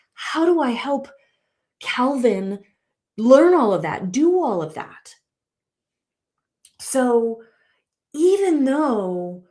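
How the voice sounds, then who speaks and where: Very slow, high-pitched woman's voice in a dark, mellow tone, with very wide pitch swings, big swings in loudness and long, frequent pauses. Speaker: relationship coach and podcast host. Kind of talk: solo podcast monologue. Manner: halting, many restarts and fillers; casual, conversational.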